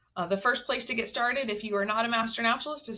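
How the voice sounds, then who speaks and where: A woman at a fairly high pitch with ordinary pitch variation. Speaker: webinar host for a state naturalist program. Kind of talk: webinar presentation. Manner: fast.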